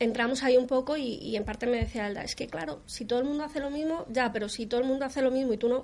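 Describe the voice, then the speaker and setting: With noticeable background noise behind her, a woman talks at a high pitch and a very fast pace, hardly pausing at all. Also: ordinary pitch variation. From Colombia. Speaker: SEO consultant. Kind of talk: interview.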